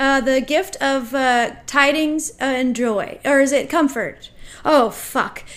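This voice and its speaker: Pitched high, a woman talks at a very slow pace with ordinary pitch variation. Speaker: podcast co-host. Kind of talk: casual chat.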